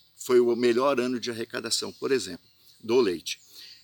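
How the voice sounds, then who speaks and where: Recorded dry and close with no echo, a man speaks at a medium pitch and a moderate pace. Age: 60s. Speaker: festival organizer. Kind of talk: monologue statement to camera. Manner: halting, many fillers.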